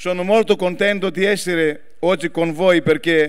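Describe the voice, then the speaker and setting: Against a quiet background, a man speaks fairly slowly at a high pitch with fairly even intonation. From Greece. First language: Greek (speaking Italian). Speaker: politician. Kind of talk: political speech. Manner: halting. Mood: earnest, solemn. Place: stage. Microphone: handheld.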